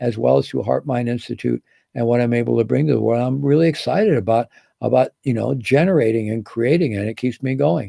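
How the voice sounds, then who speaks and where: Very fast and lively in intonation, this man speaks with a medium pitch and a dark, mellow tone. The sound is dry and close, with no echo. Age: 70s. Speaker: mindfulness teacher. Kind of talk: online course talk. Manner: casual, with many fillers.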